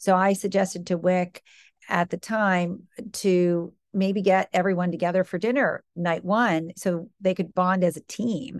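A woman's unremarkable speaking voice, medium-pitched, at a fairly slow pace with fairly even intonation, dry and close with no echo, over a quiet background. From US Midwest, Michigan. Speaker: business executive. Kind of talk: interview.

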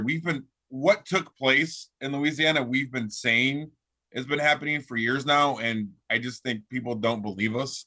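In a plain, everyday voice, a man keeps a moderate speed. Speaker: radio co-host. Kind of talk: casual chat.

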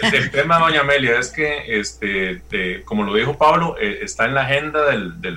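Speech comes at a fairly quick pace with hardly any pauses, over noticeable background noise. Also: man. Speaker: legislator. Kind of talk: political debate.

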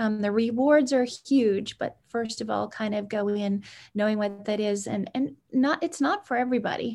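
With a normal speaking voice, a woman talks at a moderate pace and a fairly high pitch, with ordinary pitch variation and hardly any pauses. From Canada (Edmonton, Alberta). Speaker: sleep technology entrepreneur. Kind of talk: interview.

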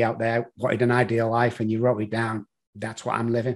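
With a Manchester accent, a man speaks at a medium pitch in a monotone, flat intonation. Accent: British (Manchester). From Manchester, England. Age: 60s. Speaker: addiction consultant. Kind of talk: interview.

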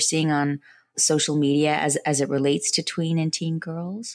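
This woman has a very deep, low pitch and fairly even intonation. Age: 50s. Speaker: podcast host and family psychotherapist. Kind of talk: interview.

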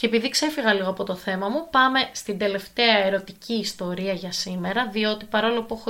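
With a bright, sharp tone, a woman speaks at a fairly quick pace in a medium pitch with ordinary pitch variation. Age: 20s. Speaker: podcast host, advice giver. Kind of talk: casual advice podcast monologue. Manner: animated.

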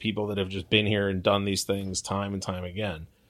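A man with a Californian accent speaks at a fairly quick pace in a bright, sharp tone, his pitch fairly low with ordinary variation. The recording is very clean, with a silent background. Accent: Californian American. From US West Coast, Long Beach, California. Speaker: hockey team podcast host. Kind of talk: casual interview chat.

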